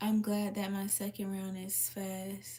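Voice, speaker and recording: Somewhat breathy, this woman's voice rests at a medium pitch. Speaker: livestreamer answering viewer comments. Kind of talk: casual live chat.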